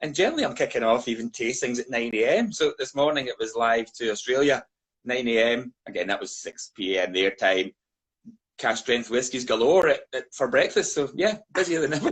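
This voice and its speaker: A man with a Scottish accent at a fairly quick pace. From Scotland. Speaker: whisky brand ambassador. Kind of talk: casual chat.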